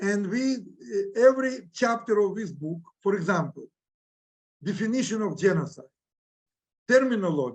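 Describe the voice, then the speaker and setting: A man with a Ukrainian accent speaks at a high pitch and a moderate pace, leaving long, frequent pauses. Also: lively intonation. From Ukraine. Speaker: historian. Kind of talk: lecture. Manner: halting.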